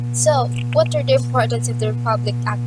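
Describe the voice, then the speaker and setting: A woman speaks at a moderate pace in dry sound with no echo. Loud background noise fills the recording. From Philippines. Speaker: student presenter. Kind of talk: class report. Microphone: phone near.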